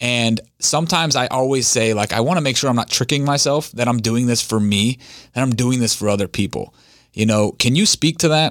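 On a very clean recording with a silent background, a man with an ordinary speaking voice talks at medium pitch and a fairly quick pace, with very even loudness and ordinary pitch variation. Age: 30s. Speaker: podcast host. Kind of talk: interview.

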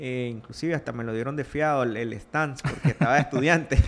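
A man with a Nicaraguan accent talks at a moderate pace with fairly even intonation. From Nicaragua, Rivas (south). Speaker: entrepreneur, liquor and chocolate producer. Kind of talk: interview.

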